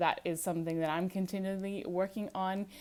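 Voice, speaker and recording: A woman with an American accent, medium pitch, and a moderate pace. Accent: sounds American. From Australia, small town. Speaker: podcast host. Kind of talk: casual monologue.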